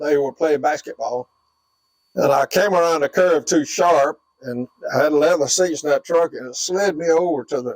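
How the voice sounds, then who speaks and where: Recorded dry and close with no echo, a man speaks in a Southern US accent. His pitch is fairly high and his intonation fairly even. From US South, northwest Florida. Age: 80s+. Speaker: war veteran. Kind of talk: oral history interview. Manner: halting.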